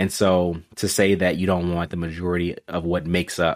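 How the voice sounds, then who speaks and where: A man speaks with an American accent in a very deep, low pitch. The recording is very clean and the background silent. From Texas. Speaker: teacher. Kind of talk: casual chat.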